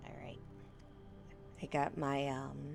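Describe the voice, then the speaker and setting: Music plays in the background. Over it, a woman speaks with a very deep, low pitch. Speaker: vtuber. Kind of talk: casual talk to stream chat.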